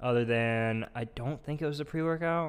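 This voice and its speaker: Moderate pace and ordinary pitch variation in a man's normal speaking voice. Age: 20s. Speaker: podcast co-host, gym worker. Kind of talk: casual chat.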